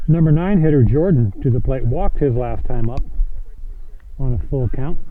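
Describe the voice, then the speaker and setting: In a room with audible echo, a man speaks at medium pitch with an American accent. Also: lively intonation, moderate pace. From US Midwest, St. Louis. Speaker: baseball play-by-play announcer. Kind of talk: live sports commentary. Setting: outdoors at a baseball field.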